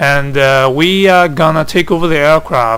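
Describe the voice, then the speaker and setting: A man's fairly high-pitched voice at a moderate pace amid noticeable background noise. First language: Chinese. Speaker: flight simulator hobbyist. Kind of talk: tutorial. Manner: halting.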